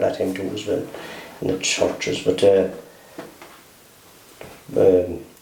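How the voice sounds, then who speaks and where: A man with a West Cork accent speaks at a moderate pace, with long, frequent pauses. Noticeable background noise can be heard. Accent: West Cork Irish. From Mealagh Valley, West Cork, Ireland. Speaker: oral history interviewee. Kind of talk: interview answer. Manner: hesitant, conversational.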